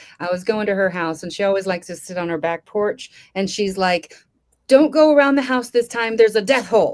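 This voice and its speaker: This woman has an American accent and a medium pitch. Her intonation is lively and her pace fairly quick. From California. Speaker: comedian. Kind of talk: stand-up. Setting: live online show. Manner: fast.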